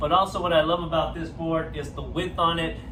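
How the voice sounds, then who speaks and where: Over audible room echo and noticeable background noise, a man speaks at a fairly slow pace. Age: 40s. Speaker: surfing vlogger. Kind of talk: casual review. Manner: loud. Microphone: no microphone, camera audio.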